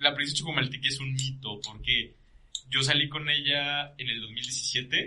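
A bright, sharp tone marks the voice of this male speaker. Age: 20s. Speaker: podcast guest. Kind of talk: casual chat.

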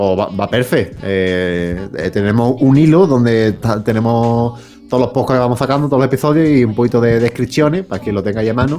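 Talking at a fairly quick pace with hardly any pauses, a man with an Andalusian accent uses a medium pitch and ordinary pitch variation. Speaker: podcast co-host. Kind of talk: casual chat. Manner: animated.

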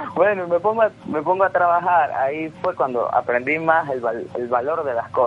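A man talks with a Venezuelan Andean accent, his pitch fairly high and his intonation lively. He leaves hardly any pauses, and noticeable background noise is present. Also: moderate pace. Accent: Venezuelan Andean accent from Mérida. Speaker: entrepreneur. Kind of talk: radio interview.

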